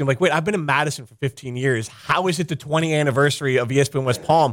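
A man talks in a normal speaking voice with a fairly high pitch. His pitch variation is ordinary. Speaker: radio host and former producer. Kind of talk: radio host patter. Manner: chatty, teasing, jokey.

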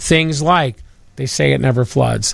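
A man's unremarkable speaking voice, fairly high in pitch, at a moderate pace. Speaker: real estate attorney. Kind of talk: expert advice on radio.

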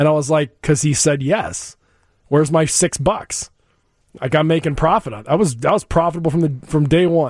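A man's plain, everyday voice, fairly high in pitch, at a fairly quick pace with ordinary pitch variation. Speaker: radio show host. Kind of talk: casual interview chat. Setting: studio.

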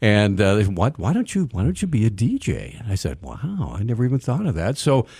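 A man with an American accent talks at a fairly quick pace and medium pitch with vocal fry and very wide pitch swings, on a very clean recording with a silent background. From US Mountain West. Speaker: veteran radio broadcaster. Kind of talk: interview. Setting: studio.

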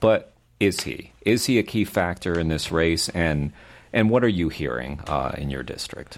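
Over a very clean recording with a silent background, a man with a very deep, low pitch and vocal fry speaks with lively intonation. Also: moderate pace. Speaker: radio host interviewer. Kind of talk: casual interview. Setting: studio.

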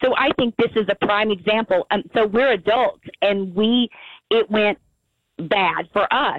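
Delivered at a fairly slow pace, a plain, everyday voice shows ordinary pitch variation and big swings in loudness. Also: woman, fairly high pitch for a woman. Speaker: anti-bullying advocate. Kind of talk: interview. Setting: phone call.

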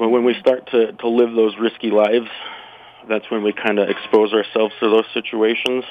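At a moderate pace, a voice with an American accent speaks in a monotone, flat intonation. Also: man, medium pitch for a man. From Utah. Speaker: firearms instructor. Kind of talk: casual interview. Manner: halting, repeats words.

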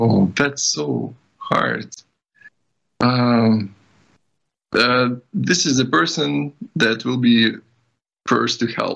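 Speaking with a Ukrainian accent, a man uses lively intonation. His pace is very slow, with long, frequent pauses. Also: medium pitch for a man. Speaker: IT developer. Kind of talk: interview.

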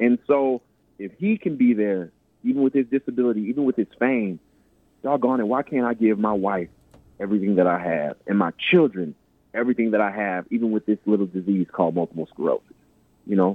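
A man with a plain, everyday voice speaks at a fairly low pitch. He moves at a fairly quick pace with ordinary pitch variation. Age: 30s. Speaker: inspirational speaker and author. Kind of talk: radio interview. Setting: phone or remote line.

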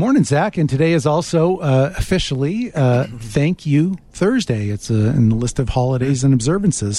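The voice is somewhat breathy with a dark, mellow tone and lively intonation, running on with hardly any pauses. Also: man. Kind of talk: radio promo read. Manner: quick, crisp, polished ad-read delivery.

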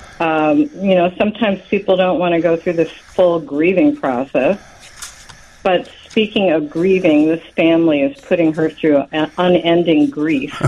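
A woman with an American accent speaks at a moderate pace in a fairly low pitch with lively intonation. Her loudness is very even, over noticeable background noise. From Chicago. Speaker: novelist. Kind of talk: radio interview. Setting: phone call.

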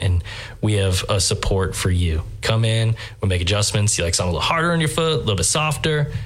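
A man speaks at a very fast pace. There is audible room echo and noticeable background noise. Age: 30s. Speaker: store franchise representative. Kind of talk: interview. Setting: studio.

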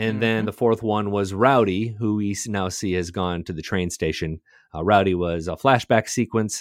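A man with a plain, everyday voice, fairly low in pitch, at a moderate pace with fairly even intonation. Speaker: podcast co-host. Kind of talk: casual chat.

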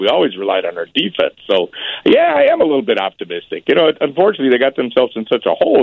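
With a Chicago accent, a man speaks at a very fast pace. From Chicago area (Berwyn). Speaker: barbecue chef. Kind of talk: casual interview.

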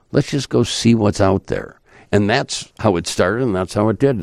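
An ordinary speaking voice with an American accent uses lively intonation at a moderate pace on a very clean recording with a silent background. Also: man. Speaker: journalist and radio host. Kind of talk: casual chat. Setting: studio.

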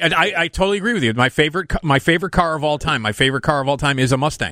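Talking at a very fast pace with hardly any pauses, a man with an American accent uses a fairly high pitch, a bright, sharp tone and lively intonation, in a dry, close sound with no echo and a very clean recording over a silent background. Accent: Midwestern, noticed by people elsewhere. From US Midwest. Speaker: late-night radio host. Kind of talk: casual talk radio chat. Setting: radio studio.

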